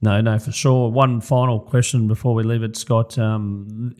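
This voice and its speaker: On a very clean recording with a silent background, a man with an Australian accent speaks at a moderate pace, his fairly low, dark, mellow voice keeping a fairly even intonation. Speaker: podcast host. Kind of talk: podcast interview.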